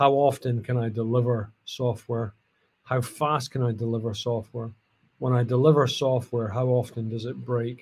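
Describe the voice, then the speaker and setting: A man's somewhat breathy voice in a Scottish accent, moderate in pace, with monotone, flat intonation. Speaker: cloud customer engineer. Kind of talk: tech talk.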